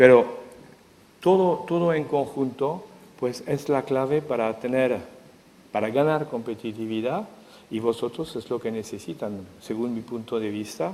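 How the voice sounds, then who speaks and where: The voice has a dark, mellow tone and a French accent. It moves at a fairly slow pace with ordinary pitch variation. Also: man, medium pitch for a man. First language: French (speaking Spanish). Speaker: economic intelligence expert, speaker. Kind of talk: conference talk. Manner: halting.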